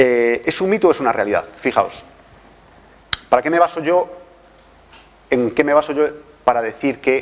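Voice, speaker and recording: At a moderate pace, a voice with a Galician accent comes through noticeable background noise. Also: man. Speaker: forensic toxicologist. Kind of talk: lecture. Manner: halting.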